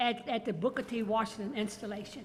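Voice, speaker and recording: A woman speaks in a raised, projected voice. Noticeable background noise runs underneath. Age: 90s. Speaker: artist. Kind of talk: tribute toast.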